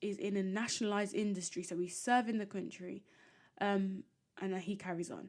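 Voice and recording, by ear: The reading aloud in a natural voice keeps a fairly even intonation.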